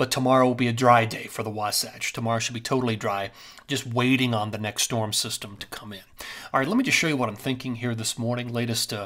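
Against a quiet background, a man talks at a very fast pace in a bright, sharp tone with monotone, flat intonation. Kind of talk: weather briefing commentary. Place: home room.

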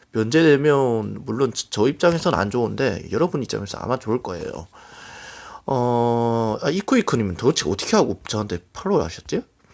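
A voice with very wide pitch swings moves at a moderate pace over a very clean recording with a silent background. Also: man, medium pitch for a man. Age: 20s. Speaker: gaming streamer. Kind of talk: casual vlog talk. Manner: halting.

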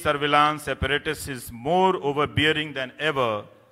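A man's speech shows ordinary pitch variation, with a quiet background behind him. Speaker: award lecturer, journalist. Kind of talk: lecture. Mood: serious, earnest. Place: hall. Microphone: podium.

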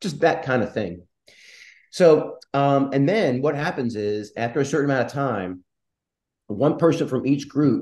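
A man is speaking at a fairly slow pace. The background is quiet. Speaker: philosophy instructor on a panel. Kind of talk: panel presentation explaining a teaching method. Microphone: video call.

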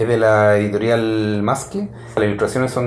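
Fairly even intonation in a Chilean accent, with audible room echo. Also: man. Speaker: music reviewer. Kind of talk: solo review monologue; casual commentary, album review. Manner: halting, many fillers. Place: home room.

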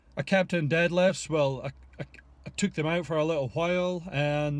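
This man talks at a moderate pace with fairly even intonation. The sound is dry, with no echo. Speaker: fitness coach. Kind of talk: casual vlog chat. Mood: relaxed, reflective. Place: car. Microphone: phone near.

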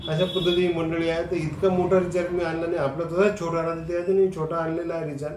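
Over light background noise and audible room echo, a man speaks at a high pitch in a flat monotone. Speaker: comedian. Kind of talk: comic monologue to camera. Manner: humorous storytelling. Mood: humorous, animated. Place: office. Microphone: phone near.

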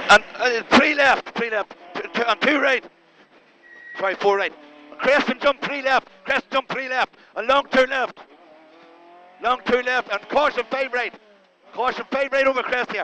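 A man with an extremely high pitch speaks with long, frequent pauses. The sound is dry with no echo, over light background noise. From Ireland. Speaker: rally co-driver. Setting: inside a rally car during a stage. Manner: excitable, encouraging bursts between calls. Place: car. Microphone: helmet.

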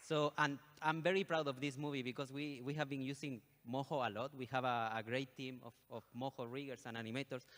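A man's fairly bright, medium-pitched voice at a fairly quick pace, with fairly even intonation and few pauses

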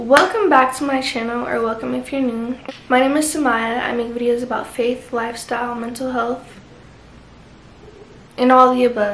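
Audible room echo and light background noise surround a woman speaking at a moderate pace and a high pitch. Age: young. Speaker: lifestyle vlogger. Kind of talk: casual chat. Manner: casual, filler-heavy. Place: home room. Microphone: camera far.

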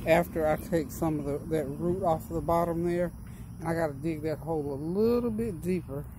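Noticeable noise sits in the background. There is no echo, and the sound is dry. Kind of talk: casual gardening tutorial chat. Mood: warm, chatty, relaxed. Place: garden. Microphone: phone near.

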